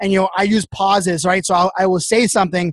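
A man speaks at a very fast pace in a high voice, with a dry, close sound and no echo. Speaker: social media influencer and keynote speaker. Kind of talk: casual podcast interview. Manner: fast talker.

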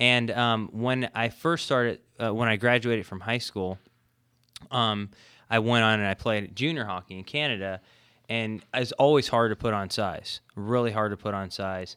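In a very clean recording with a silent background, a man with an American accent speaks at a moderate pace in a bright, sharp tone, medium in pitch and fairly even in intonation. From California. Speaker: sports nutrition researcher. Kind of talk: expert interview.

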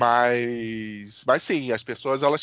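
Fairly even intonation marks this man's medium-pitched delivery, a plain, everyday voice. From Rio de Janeiro. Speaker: podcast co-host. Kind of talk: casual chat.

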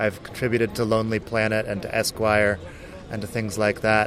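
Noticeable background noise sits behind a man speaking at medium pitch with an American accent. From US, Phoenix, Arizona. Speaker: writer, blogger and English teacher. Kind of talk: interview. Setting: outdoors in a city square.

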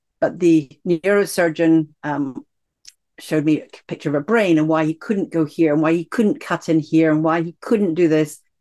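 A woman with a Scottish accent, fairly low pitch and fairly even intonation. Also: moderate pace. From Scotland. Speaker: executive coach and author. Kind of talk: interview about her book and life story.

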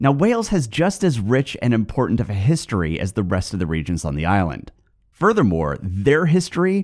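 Speaking at a fairly quick pace with very wide pitch swings, a man with a West Coast American accent is heard on a very clean recording with a silent background. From US West Coast. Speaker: podcast host. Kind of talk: scripted narration, history podcast.

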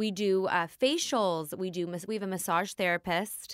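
In a very clean recording with a silent background, a woman with an American accent has an ordinary speaking voice, medium pitch and fairly even intonation. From US West Coast, Los Angeles area. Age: 30s. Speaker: hairstylist and salon owner. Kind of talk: interview.

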